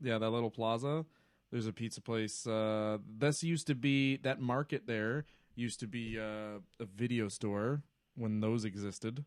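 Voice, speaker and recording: A man talks at a moderate pace. His pitch sits in the middle of the male range. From Ontario, Canada (Toronto area suburb). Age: 30s. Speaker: stand-up comedian. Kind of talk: casual chat. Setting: live stream. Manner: animated.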